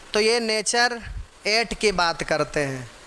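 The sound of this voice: A man speaks with a high pitch. His tone is bright and sharp.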